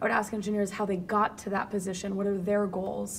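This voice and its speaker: Noticeable noise fills the background. Over it, a woman talks very fast. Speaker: AI leader and advisor. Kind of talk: interview conversation. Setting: video call.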